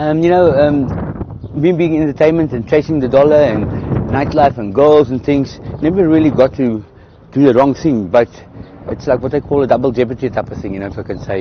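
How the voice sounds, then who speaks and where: Noticeable background noise sits behind a man with a South African accent. He speaks fairly quickly at medium pitch, with ordinary pitch variation. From South Africa, south of Johannesburg. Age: 50s. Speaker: entertainer and electronics repairman. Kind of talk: interview. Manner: halting.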